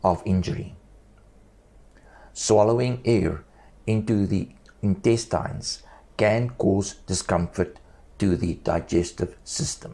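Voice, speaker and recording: With a dark, mellow tone and a somewhat breathy, fairly low pitch, a man speaks at a very slow pace with ordinary pitch variation and long, frequent pauses. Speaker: esophagectomy survivor speaking without vocal cords. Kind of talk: personal health testimony and instruction.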